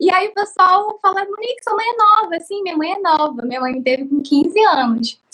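With a bright, sharp tone, a woman speaks at an extremely high pitch with very wide pitch swings. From Cabo Frio, Rio de Janeiro state, Brazil. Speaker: craft YouTuber and artisan. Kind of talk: personal life story. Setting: live stream.

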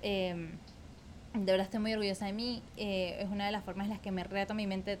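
Her voice sits fairly high for a woman, and she talks at a fairly quick pace. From Venezuela, Caracas. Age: 20s. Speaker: podcast host. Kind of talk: personal story monologue. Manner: casual, with many filler words.

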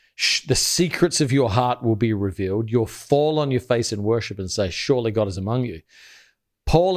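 In an Australian accent, a man with a fairly low pitch uses lively intonation on a very clean recording with a silent background. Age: 40s. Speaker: pastor. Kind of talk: casual chat.

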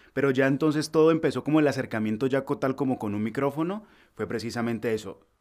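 Against a silent background in a very clean recording, a man talks at a very fast pace with ordinary pitch variation. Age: 20s. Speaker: voice-over artist. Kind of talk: interview. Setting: home recording studio.

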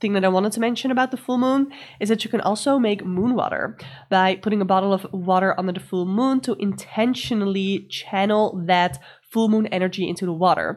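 Over a very clean recording with a silent background, a woman with a non-native accent talks at a fairly quick pace, her medium pitch showing ordinary variation. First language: not English. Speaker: tarot and astrology podcast host. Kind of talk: solo week-ahead astrology and tarot guidance.

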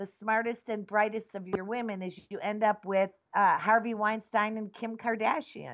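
With an American accent, a woman speaks at a fairly high pitch. She has an ordinary speaking voice. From US Midwest, Wisconsin. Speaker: activist nun and cannabis product maker. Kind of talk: interview conversation.

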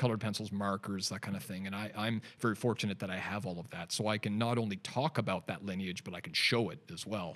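Speaking in a normal speaking voice with a Canadian accent, a man at a fairly low pitch goes at a fairly quick pace in a very clean recording with a silent background. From Canada. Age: 40s. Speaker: digital artist and designer. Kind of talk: casual interview. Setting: studio.

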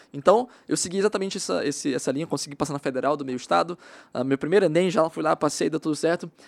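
This man talks at a very fast pace, and the sound is dry and close with no echo. The recording is very clean, with a silent background. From Maranhão, Brazil. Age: 20s. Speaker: digital marketing specialist. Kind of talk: casual interview.

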